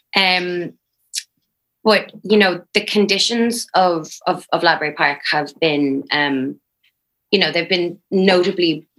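A woman with an Irish accent at a very slow pace, with long, frequent pauses, very even loudness and ordinary pitch variation. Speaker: newspaper editor. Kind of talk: news interview.

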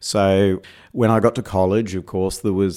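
A fairly low-pitched man with an Australian accent at a moderate pace, on a very clean recording with a silent background. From Perth, Western Australia. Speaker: AI research engineer. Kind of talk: interview. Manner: hesitant, filler words.

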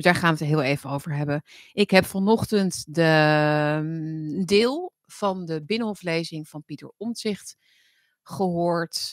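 Very slow speech with ordinary pitch variation and big swings in loudness comes through with a dry, close sound and no echo. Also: woman, fairly low pitch for a woman. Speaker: political commentary livestream host. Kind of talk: casual livestream monologue.

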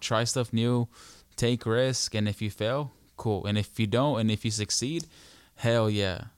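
A man at medium pitch, fairly slow, in a very clean recording with a silent background and a dry, close sound free of echo. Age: 20s. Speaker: podcast co-host. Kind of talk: casual chat. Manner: animated.

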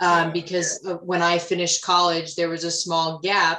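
A woman talks at a fairly low pitch, and noticeable background noise is heard behind her. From Rhode Island. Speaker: ice hockey referee. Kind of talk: casual interview.

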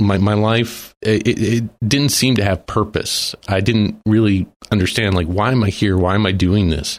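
Speaking at a moderate pace with hardly any pauses, a man with an American accent has an unremarkable speaking voice, fairly low pitch, fairly even intonation and very even loudness. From Texas. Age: 40s. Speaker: guest sharing faith testimony. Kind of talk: testimony. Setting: studio.

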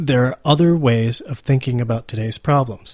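Somewhat breathy, a man with an American accent speaks in a medium pitch with ordinary pitch variation. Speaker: podcast host. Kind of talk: podcast monologue and interview. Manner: halting.

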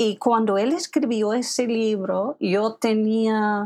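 Speaking with an English accent, a woman uses a fairly high pitch and ordinary pitch variation. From US, Philadelphia area. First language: English (speaking Spanish). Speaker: literary translator and writer. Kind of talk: interview conversation.

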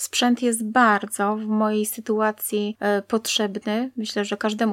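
A woman's fairly high, plain, everyday voice at a fairly slow pace, in a very clean recording with a silent background and a dry, close sound with no echo. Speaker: blind interviewee sharing life story. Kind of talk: interview, personal testimony.

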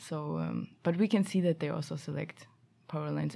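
The speaker is a woman. She has a German accent. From Germany. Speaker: master's student. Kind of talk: casual interview.

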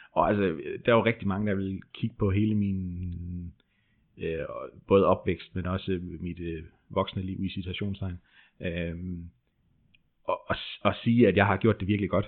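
A man with a very deep, low pitch speaks in a monotone, flat intonation at a fairly slow pace, with long, frequent pauses. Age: 30s. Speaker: furniture maker recovering from stress. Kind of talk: personal testimony interview. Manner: hesitant, many fillers.

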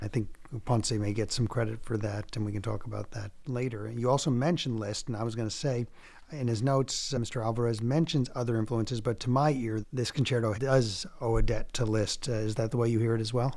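A man talks at a fairly quick pace with an unremarkable speaking voice. His pitch is medium and his intonation fairly even. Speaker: record label founder and podcast host. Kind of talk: interview podcast. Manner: formal.

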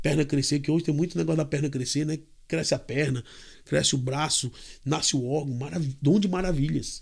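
A man's fairly high voice with vocal fry and fairly even intonation at a fairly quick pace, on a very clean recording with a silent background. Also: very even loudness. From Brazil, Fortaleza, Ceará. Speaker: missionary preacher. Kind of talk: podcast interview with preaching. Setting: studio table recording.

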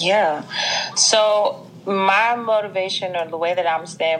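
A woman speaks at a fairly slow pace with a slight Southern US accent and fairly even intonation. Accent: Southern US, slight twang. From US South, Mississippi. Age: 20s. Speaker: fitness franchise owner. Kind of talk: casual interview chat.

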